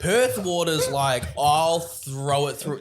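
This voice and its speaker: A man speaks with a New Zealand accent. His pitch is fairly high. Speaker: stand-up comedian. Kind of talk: casual chat.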